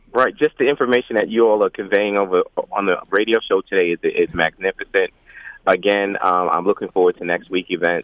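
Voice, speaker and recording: At a fairly quick pace, a man speaks with very even loudness. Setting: phone call.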